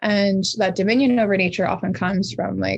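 A woman with a Canadian accent speaks at medium pitch and a moderate pace in a normal speaking voice. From Canada, Pacific Northwest (Squamish Nation, BC). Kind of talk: interview conversation.

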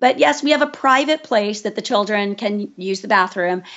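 A woman with a plain, everyday voice and a fairly high pitch. She talks at a moderate pace with lively intonation. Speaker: forest kindergarten founder and educator. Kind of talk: interview.

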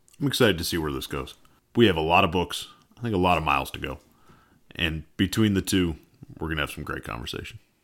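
A man with an American accent and a very deep, low pitch talks very fast with vocal fry and lively intonation, his loudness swinging widely between long, frequent pauses. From US New England, rural Massachusetts. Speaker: co-host, emergency nurse and farmer. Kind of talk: scripted narration.

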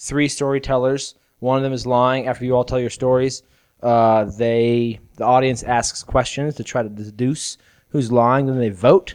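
In a normal speaking voice with an American accent, a man speaks at a moderate pace with medium pitch and fairly even intonation over a quiet background. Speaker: podcast co-host. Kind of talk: casual comedic chat.

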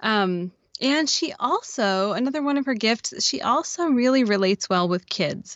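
This woman has a plain, everyday voice with an American accent. She speaks fairly slowly, her intonation lively. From Oregon. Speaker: podcaster and children's book author. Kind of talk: casual chat.

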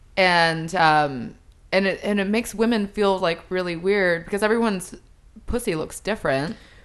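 Over a quiet background, a woman uses a normal speaking voice at medium pitch, with ordinary pitch variation and a moderate pace. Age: 30s. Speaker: adult film actress. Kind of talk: casual chat.

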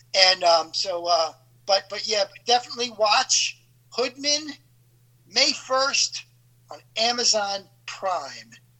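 A man's high-pitched, very slow speech with lively intonation, big swings in loudness, and long, frequent pauses over noticeable background noise. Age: 50s. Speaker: actor. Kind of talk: casual chat.

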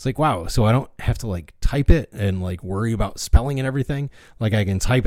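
A man with a plain, everyday voice at a medium pitch, lively intonation and a fairly quick pace, in a very clean recording with a silent background. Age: 40s. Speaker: podcast host. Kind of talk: solo monologue podcast. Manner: casual with frequent fillers.

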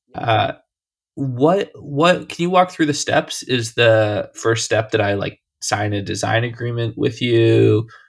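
A somewhat breathy man at medium pitch talks very slowly, his intonation lively. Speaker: podcast host. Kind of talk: interview.

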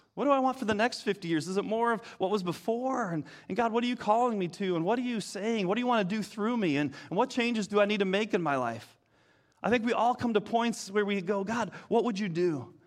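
With an American accent, a man talks at a very fast pace in a high pitch, his pitch varying in an ordinary way. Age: 50s. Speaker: pastor. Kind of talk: sermon. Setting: church.

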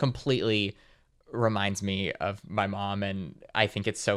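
Recorded very cleanly against a silent background, a man speaks with a Californian accent. His pitch is fairly low. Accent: General Californian American. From US West Coast, Los Angeles suburbs. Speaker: writer and filmmaker. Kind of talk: casual chat.

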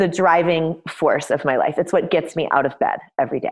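A woman with an American accent and an ordinary speaking voice talks at a moderate pace, fairly low in pitch, with fairly even intonation. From US West Coast, Los Angeles. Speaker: painter and art teacher. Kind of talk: interview.

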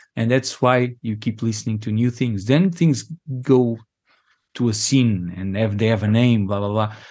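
A very clean recording with a silent background: a man with a Portuguese accent, fairly low in pitch, at a moderate pace and with ordinary pitch variation. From Angola, raised in Portugal. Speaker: DJ and music producer. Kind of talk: interview. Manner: halting, many repetitions.

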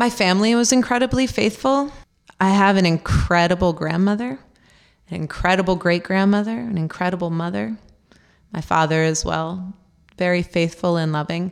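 A woman with an American accent, a plain, everyday voice, medium pitch and lively intonation, on a very clean recording with a silent background. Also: moderate pace. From rural Pennsylvania. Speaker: Lutheran pastor. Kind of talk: interview conversation.

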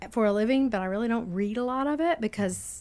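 In a very clean recording with a silent background, a woman speaks in an ordinary speaking voice at medium pitch with ordinary pitch variation. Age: 60s. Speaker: coffee shop founder. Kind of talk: casual interview. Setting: studio.

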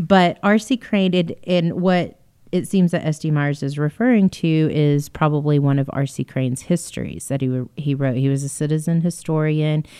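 In a Texan accent, a woman with a very deep, low pitch and a dark, mellow tone speaks at a moderate pace with ordinary pitch variation and hardly any pauses. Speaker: museum podcast host. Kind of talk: casual chat.

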